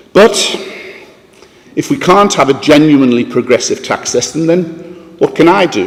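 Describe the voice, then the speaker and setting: A high-pitched man with a northeast English accent, very wide pitch swings, and long, frequent pauses, over noticeable background noise. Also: moderate pace. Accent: northeast English (Sunderland). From northeast England, Sunderland. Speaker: philanthropist. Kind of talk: conference talk.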